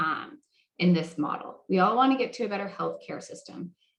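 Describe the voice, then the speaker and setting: Somewhat breathy, a woman's voice rises and falls with lively intonation. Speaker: health policy moderator. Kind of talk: roundtable presentation.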